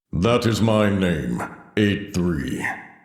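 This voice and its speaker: A man puts on a character voice, pitched fairly low with a solemn tone. There is a slight echo. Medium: video game. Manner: solemn, stately.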